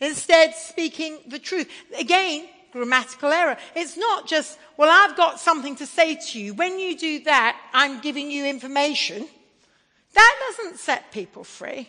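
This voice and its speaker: A woman speaks in a raised, projected voice. Her pitch is high and her intonation lively. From England. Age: 50s. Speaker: preacher. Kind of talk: sermon.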